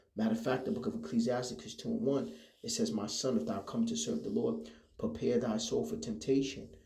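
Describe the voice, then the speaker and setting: A man talking at a fairly quick pace, with audible room echo. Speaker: religious teacher. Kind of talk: religious lesson. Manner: halting.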